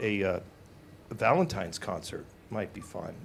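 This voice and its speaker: A man speaks over noticeable background noise. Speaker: singer. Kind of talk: interview.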